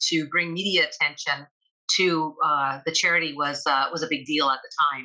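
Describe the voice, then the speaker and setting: A woman with a Canadian accent talks in an ordinary speaking voice, her fairly low pitch moving in fairly even intonation at a moderate pace. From Canada, Toronto. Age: 60s. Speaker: actress. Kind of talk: interview.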